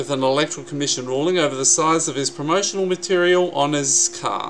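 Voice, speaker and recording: A man talks at a fairly quick pace in a fairly high pitch. His pitch varies in an ordinary way, and there is light background noise. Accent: Australian. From South Australia. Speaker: YouTube vlogger. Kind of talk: angry political rant, vlog-style commentary on election results. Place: home room. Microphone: webcam.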